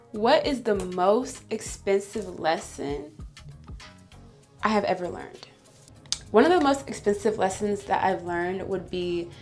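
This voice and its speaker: A speaker with an American accent goes at a fairly slow pace with long, frequent pauses. Music plays in the background, and room echo is audible. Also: woman. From Illinois. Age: 20s. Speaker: beauty vlogger. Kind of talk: casual chat. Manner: animated.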